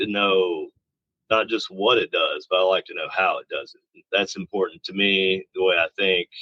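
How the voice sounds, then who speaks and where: A man is speaking at a moderate pace. His voice sounds dry and close, without any echo. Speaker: paranormal tech builder and TV investigator. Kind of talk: interview. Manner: loud; casual, halting with fillers.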